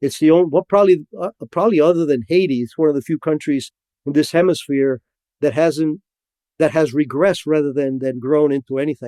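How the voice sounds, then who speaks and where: A man with a Spanish accent and a dark, mellow tone talks at a fairly quick pace and a fairly high pitch with ordinary pitch variation, in a dry, close sound with no echo. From Cuba. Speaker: former intelligence officer. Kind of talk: podcast interview. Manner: halting, many repetitions and fillers.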